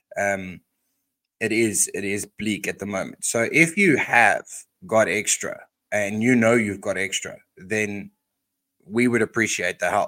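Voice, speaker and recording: A man with an Australian accent speaks at a fairly low pitch and a fairly slow pace in a bright, sharp tone, with long, frequent pauses. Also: ordinary pitch variation. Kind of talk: casual chat and Bible teaching. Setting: video call, slow connection.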